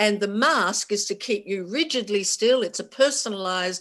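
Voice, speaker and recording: Speaking with an Australian accent at a fairly slow pace, a woman is heard in a very clean recording with a silent background. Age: 60s. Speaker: keynote speaker, cancer survivor, journalist. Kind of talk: conference keynote talk. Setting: stage with audience.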